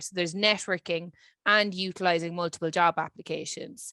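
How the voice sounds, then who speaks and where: A woman speaks with a Dublin accent at a fairly low pitch. Her tone is bright and sharp, and her intonation fairly even. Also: dry, close sound with no echo. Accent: Irish (Dublin). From Ireland, Dublin. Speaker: career services lead. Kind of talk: webinar presentation.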